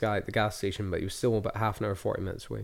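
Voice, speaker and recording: On a very clean recording with a silent background, a man speaks in an Edinburgh accent. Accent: Scottish (Edinburgh). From Scotland, Edinburgh. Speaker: author and aid volunteer. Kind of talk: casual interview.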